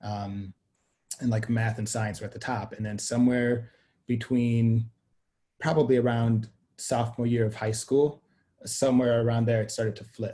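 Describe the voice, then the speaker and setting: Speaking at a moderate pace, a man has a medium pitch, a dark, mellow tone and a somewhat breathy quality. His intonation is monotone and flat, with long, frequent pauses. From Sweden. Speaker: media company co-founder. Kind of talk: interview conversation.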